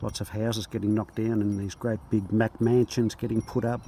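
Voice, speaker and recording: A man with an Australian accent speaks with a fairly low pitch and ordinary pitch variation. His tone is dark and mellow, and somewhat breathy. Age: 60s. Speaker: bricklayer. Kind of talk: casual talk to camera. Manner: hesitant, many fillers.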